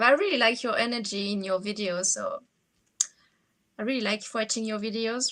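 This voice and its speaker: The speaker has a strong French accent and ordinary pitch variation. The pace is moderate. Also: woman. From France. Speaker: fantasy writer, vlogger. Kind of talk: casual chat. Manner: halting.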